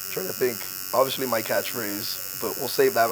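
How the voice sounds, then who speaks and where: A man talks in a Miami accent at a moderate pace. Noticeable background noise can be heard. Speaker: podcast host. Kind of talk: casual chat.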